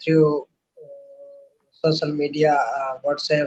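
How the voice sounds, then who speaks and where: Very slowly, a man with an Indian accent speaks at a fairly high pitch. His intonation is monotone and flat. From India, Rajasthan. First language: Hindi. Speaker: language learner, Hindi teacher. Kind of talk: casual chat. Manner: halting.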